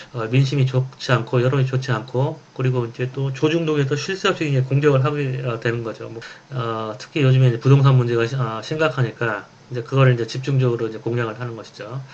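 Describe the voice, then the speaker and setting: A man speaks very fast at a medium pitch with fairly even intonation, with noticeable background noise and audible room echo. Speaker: professor. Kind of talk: lecture.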